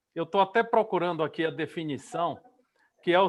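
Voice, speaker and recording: A man's high-pitched voice. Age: 60s. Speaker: interviewer, journalist and musician. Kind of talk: live online interview.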